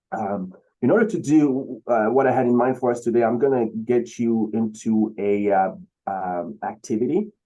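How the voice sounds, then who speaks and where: This man speaks with a Beninese accent. His pitch is medium, with ordinary pitch variation. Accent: West African (Beninese) accent, noticeable. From Benin, West Africa. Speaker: keynote speaker, singer-songwriter. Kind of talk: keynote speech. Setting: video call. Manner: hesitant, many fillers.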